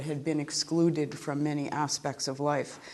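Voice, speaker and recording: The speaker has an American accent and a moderate pace. The intonation is monotone and flat, with audible room echo. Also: woman. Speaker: law professor. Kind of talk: lecture. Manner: reading from a script.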